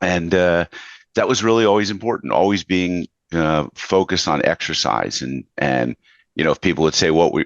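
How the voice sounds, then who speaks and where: Vocal fry in a man's very deep, low voice, with a moderate pace and lively intonation. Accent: American. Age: 60s. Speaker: podcast host. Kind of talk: interview conversation.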